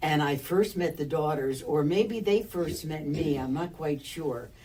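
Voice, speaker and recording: An American accent at a fairly slow pace, with ordinary pitch variation and noticeable background noise. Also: woman, very deep, low pitch for a woman. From US Northeast, Albany, New York. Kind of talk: personal storytelling interview.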